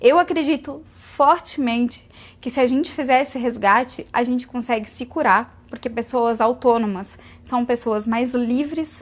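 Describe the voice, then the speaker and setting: On a very clean recording with a silent background, a woman with a high pitch speaks at a fairly slow pace with ordinary pitch variation. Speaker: vegan lifestyle influencer. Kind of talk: live Q&A stream. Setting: Instagram live stream.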